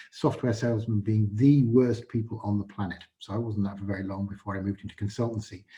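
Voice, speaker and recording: Somewhat breathy and dark, mellow in tone, a man talks with a Yorkshire accent. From northern England, Yorkshire. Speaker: AI consultant, event speaker. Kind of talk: presentation talk. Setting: virtual event, online presentation. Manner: halting, many filler words.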